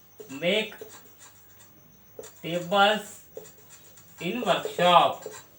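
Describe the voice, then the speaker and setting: Noticeable background noise sits behind a man whose high voice shows ordinary pitch variation. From Maharashtra, India. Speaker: English grammar teacher. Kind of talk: grammar tutorial.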